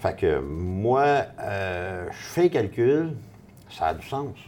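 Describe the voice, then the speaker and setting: This man speaks in a Quebec accent with lively intonation. His tone is dark and mellow, and somewhat breathy. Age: 50s. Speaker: real estate investor. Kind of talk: casual interview.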